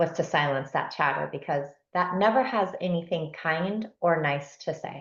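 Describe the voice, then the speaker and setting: A somewhat breathy woman's voice, fairly low in pitch, with lively intonation at a moderate pace over a quiet background. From San Diego, California, Spanish-speaking home. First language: Spanish. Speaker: transformational coach. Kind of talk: podcast interview.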